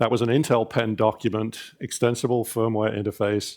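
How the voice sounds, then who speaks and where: A man speaks at a medium pitch with a British accent and a moderate pace. The recording is very clean, with a silent background. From Britain. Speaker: industry consortium president, engineer. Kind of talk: conference keynote. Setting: conference stage with audience, PA. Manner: conversational, with frequent fillers.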